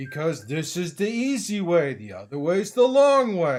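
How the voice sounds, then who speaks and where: Using a put-on character voice, a man sounds gruff and high-pitched. His pitch swings very widely at a moderate pace. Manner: arguing.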